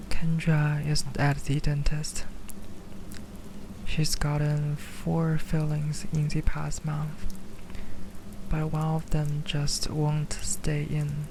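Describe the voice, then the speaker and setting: A whisper at a very slow pace, broken by long, frequent pauses. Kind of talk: ASMR story reading. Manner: whispered.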